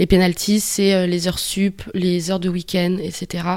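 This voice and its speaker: A woman talks at a very slow pace. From New Caledonia. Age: 30s. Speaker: working holiday backpacker, farm worker. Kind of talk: interview.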